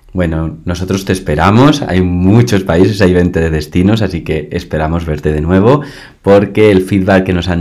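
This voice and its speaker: A man with a Spanish accent, very deep and low in pitch, at a moderate pace with ordinary pitch variation, amid audible room echo. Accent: Peninsular Spanish. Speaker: podcast host and volunteer organizer. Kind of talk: interview. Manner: animated. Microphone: laptop mic.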